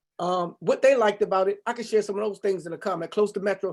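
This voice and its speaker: Delivered at a fairly quick pace, the speech keeps fairly even intonation. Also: man. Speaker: real estate agent. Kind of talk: presentation on video call. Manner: fast.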